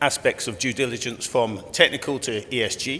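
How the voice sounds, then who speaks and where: Loudly, a man speaks with ordinary pitch variation. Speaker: company executive chairman. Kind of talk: conference presentation. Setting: conference room with audience. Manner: conversational, with fillers.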